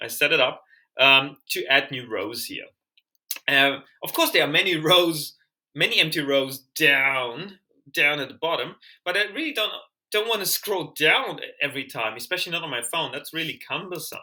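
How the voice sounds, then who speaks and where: Bright, sharp tone in a German accent, with ordinary pitch variation at a moderate pace. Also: man, fairly high pitch for a man. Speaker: language learner and tutorial maker. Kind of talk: screen-share tutorial. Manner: hesitant, many fillers and restarts; casual, conversational.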